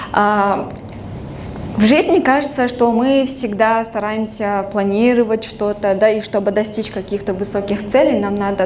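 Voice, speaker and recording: With a Russian accent, a woman talks at a moderate pace and medium pitch, her intonation fairly even, amid noticeable background noise and audible room echo. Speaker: alumna speaker. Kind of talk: talk to live audience. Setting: stage with audience. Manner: casual, relaxed.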